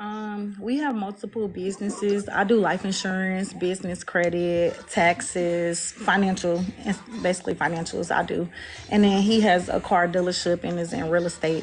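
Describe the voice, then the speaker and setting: A woman at a moderate pace, her intonation fairly even, over light background noise. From US South. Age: 30s. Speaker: dating show participant, mother, financial services businesswoman. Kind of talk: casual chat. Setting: video call on a livestream. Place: home room. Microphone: phone near.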